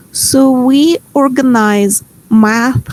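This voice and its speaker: A woman speaks in a Ukrainian accent. Her intonation is lively. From Ukraine. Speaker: workshop facilitator. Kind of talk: online workshop presentation. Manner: hesitant, many fillers.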